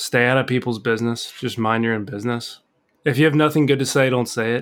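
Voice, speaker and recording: A man with a plain, everyday voice talks at a fairly quick pace and medium pitch with fairly even intonation, in a very clean recording with a silent background. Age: 30s. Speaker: host's boyfriend, co-host for listener-question episodes. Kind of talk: casual chat.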